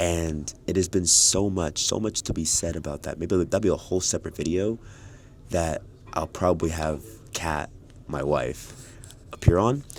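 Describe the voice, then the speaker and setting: With long, frequent pauses, a man with a very deep, low pitch talks at a moderate pace and ordinary pitch variation. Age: 20s. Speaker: keynote speaker, vlogger. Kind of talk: casual vlog. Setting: airport lounge.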